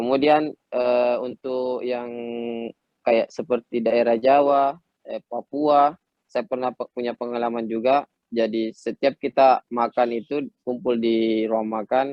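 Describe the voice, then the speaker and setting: A man talks at a very slow pace. His intonation is flat and monotone. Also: medium pitch for a man. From Makassar, South Sulawesi, Indonesia. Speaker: professional footballer. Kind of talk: talk show interview. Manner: halting, many fillers.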